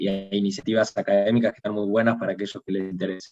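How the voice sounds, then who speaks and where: This is a man speaking. He has a Rioplatense accent. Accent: Argentine Rioplatense Spanish. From Argentina, Bahía Blanca. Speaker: international relations professional. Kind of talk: panel talk on video call. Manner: halting, many repetitions and fillers.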